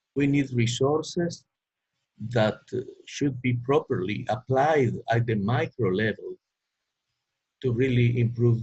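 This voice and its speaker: A man with a Spanish accent talks at a fairly slow pace in a somewhat breathy, medium-pitched voice. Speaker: economist panelist. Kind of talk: webinar presentation. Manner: halting.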